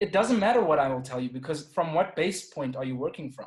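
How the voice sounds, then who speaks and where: A man with a South African accent speaks in a somewhat breathy voice. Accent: South African accent, less typical than most. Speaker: podcast guest. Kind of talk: casual chat.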